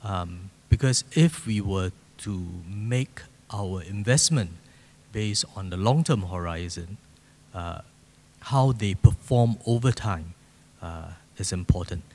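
Long, frequent pauses break up a man's fairly slow speech. His fairly low voice has ordinary pitch variation and big swings in loudness. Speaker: speaker. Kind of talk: panel discussion answer. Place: hall. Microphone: handheld.

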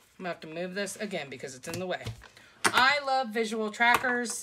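A woman speaks over noticeable background noise. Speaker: budget vlogger. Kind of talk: casual vlog chat. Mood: upbeat, chatty.

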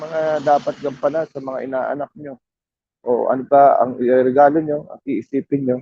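A man with a normal speaking voice talks at a moderate pace and a fairly high pitch. The sound is dry and close with no echo, and his intonation is fairly even. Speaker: vlogger. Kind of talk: walking vlog. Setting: outdoors.

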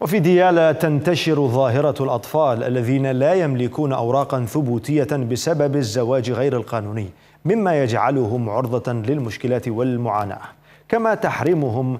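A man speaks at a fairly slow pace, his pitch rising and falling in an ordinary way. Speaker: news anchor. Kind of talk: news reading. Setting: studio. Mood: serious, formal. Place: studio. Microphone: lapel.

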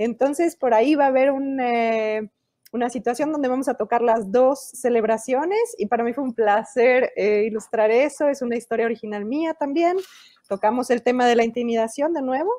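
Against a quiet background, a woman talks at a high pitch with a dark, mellow tone. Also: ordinary pitch variation, moderate pace. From Mexico. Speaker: children's book illustrator and author. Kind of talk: interview. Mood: warm, enthusiastic. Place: home room. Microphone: earbuds.

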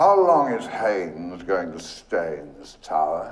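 A put-on character voice at a slow pace, with big pitch swings and strong room echo. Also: man, low pitch for a man.

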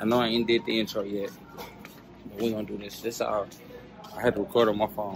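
Faint music plays in the background of a dry recording with no echo. A man speaks at a fairly quick pace, his intonation monotone and flat. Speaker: vlogger. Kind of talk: casual vlog chat. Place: shop. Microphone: phone near.

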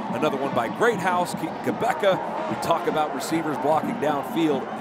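A man with a fairly high pitch speaks with lively intonation over noticeable background noise. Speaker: color commentator. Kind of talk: sports commentary analysis. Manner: animated, enthusiastic.

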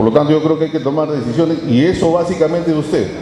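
Clear background noise sits under the speech. The pace is fast, with ordinary pitch variation. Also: man, fairly high pitch for a man.

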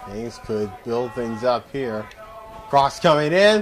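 Faint music plays in the background as a man speaks in an excited, energetic tone with lively intonation. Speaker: sports play-by-play commentator. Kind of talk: live soccer play-by-play commentary. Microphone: headset.

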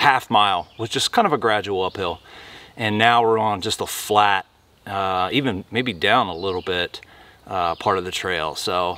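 A man's fairly low voice with a bright, sharp tone, ordinary pitch variation and a moderate pace. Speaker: hiking vlogger. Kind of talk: casual vlog chat. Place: forest.

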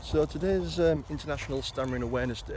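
The sound of this man's voice is dry with no echo, though there is noticeable background noise. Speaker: person who stammers. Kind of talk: casual talk to camera. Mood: earnest, calm. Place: garden. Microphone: phone near.

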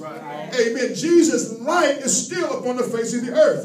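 An animated tone with ordinary pitch variation comes through audible room echo and light background noise. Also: man. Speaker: preacher. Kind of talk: sermon. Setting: church. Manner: animated, call-and-response preaching with constant 'amen' and rising intensity. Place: hall. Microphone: handheld.

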